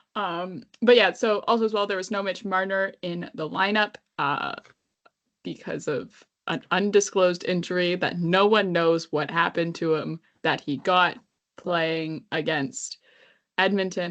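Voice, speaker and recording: Speaking with a Canadian accent, a woman talks at a fairly slow pace. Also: medium pitch for a woman, ordinary pitch variation. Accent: very Canadian. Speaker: podcast co-host. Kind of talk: casual chat.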